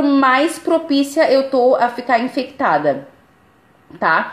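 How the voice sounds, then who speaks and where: High-pitched speech from a woman, with ordinary pitch variation and noticeable background noise. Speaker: spiritual life coach. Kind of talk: live stream talk.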